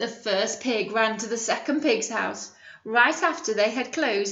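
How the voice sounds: In a natural reading voice, the pitch varies about as much as usual.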